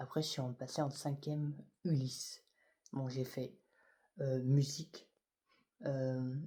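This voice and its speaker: A man with a fairly high pitch speaks at a very slow pace in a flat monotone, with a somewhat breathy, dark and mellow tone and long, frequent pauses, on a very clean recording with a silent background. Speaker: YouTuber. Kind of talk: personal vlog testimony. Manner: halting; soft-spoken, whispery.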